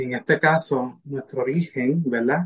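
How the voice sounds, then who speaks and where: A man's fairly high, somewhat breathy voice at a fairly slow pace, with fairly even intonation and a dry, close sound free of echo. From Puerto Rico. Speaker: spiritual mentor and medical interpreter. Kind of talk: casual interview.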